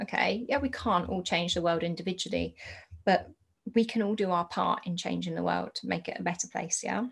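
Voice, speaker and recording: This speaker is a woman with a British accent. She keeps to a moderate pace. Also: very clean recording, silent background. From UK. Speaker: podcast host and entrepreneur. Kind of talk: solo podcast monologue.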